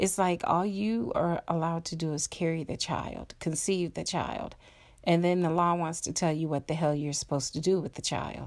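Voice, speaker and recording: A woman's fairly low-pitched, a plain, everyday voice, at a moderate pace with fairly even intonation, on a very clean recording with a silent background. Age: 40s. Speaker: podcast host. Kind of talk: solo monologue podcast. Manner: casual with fillers.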